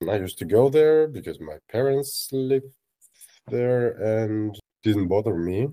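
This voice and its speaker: Speaking at a fairly slow pace with a Russian accent, a man uses a dark, mellow tone and lively intonation. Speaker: journalist. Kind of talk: interview.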